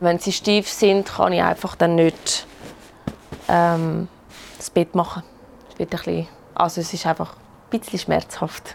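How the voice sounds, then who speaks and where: A woman speaks with a Swiss accent at a fairly slow pace. Long, frequent pauses break up her speech. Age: 30s. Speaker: rheumatism patient. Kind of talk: casual chat.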